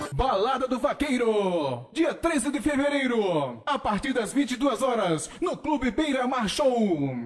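A man talks in an extremely high voice with an energetic, upbeat tone and lively intonation. His pace is fairly slow with hardly any pauses, and music plays in the background. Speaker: voice-over announcer. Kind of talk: event promo ad read, radio-style announcement. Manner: energetic, loud, upbeat.

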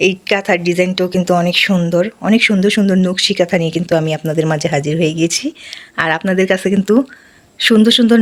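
Noticeable background noise sits behind a woman's voice. She has a medium pitch and an animated tone. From Bangladesh, Barisal region. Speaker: village life vlogger. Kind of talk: casual product showcase vlog. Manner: animated, exclamatory.

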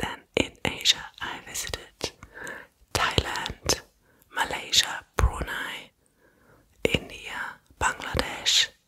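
Whispering very slowly, a woman leaves long, frequent pauses. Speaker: content creator. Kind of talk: casual talk to camera, soft ASMR style. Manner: soft-spoken ASMR voice close to mic. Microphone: studio mic.

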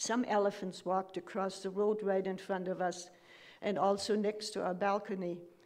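At a moderate pace, a woman speaks in a monotone with flat intonation. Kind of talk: eulogy reading. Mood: fond, reflective remembrance. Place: church. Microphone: podium.

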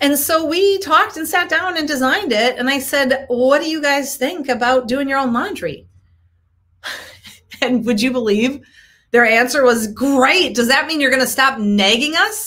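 High-pitched and lively in intonation, a woman speaks. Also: moderate pace. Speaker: coach, show host. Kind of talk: casual live-stream talk. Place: home room. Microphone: webcam.

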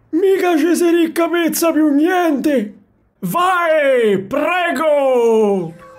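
A cartoonish character voice, high in pitch, delivers its lines at a very slow pace. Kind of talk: comic dialect redub. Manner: curt, exasperated.

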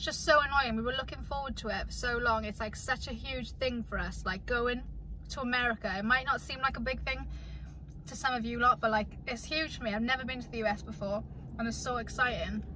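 A woman talks at a fairly quick pace, with light background noise and a dry sound that has no echo. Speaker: vlogger. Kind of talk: casual vlog chat. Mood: mildly disappointed, calm. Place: car. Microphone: phone near.

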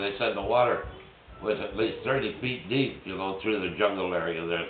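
A man talks with ordinary pitch variation. There is audible room echo and light background noise. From Switzerland. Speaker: war veteran. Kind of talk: casual conversation. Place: home room. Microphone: phone near.

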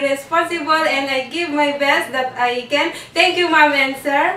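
A woman projects a raised, high voice at a moderate pace with fairly even intonation. There is audible room echo and light background noise. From Philippines, Isabela province. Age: 20s. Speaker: domestic helper job applicant. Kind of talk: job interview. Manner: formal. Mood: polite, smiling, earnest. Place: empty room.

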